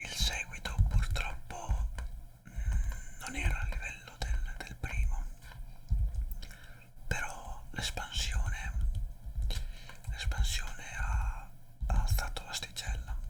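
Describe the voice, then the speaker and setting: Whispering at a very slow pace with long, frequent pauses, the speaker swings widely in loudness over noticeable background noise. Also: man. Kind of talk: ASMR whispered talk. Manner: whispered; improvised, rambling.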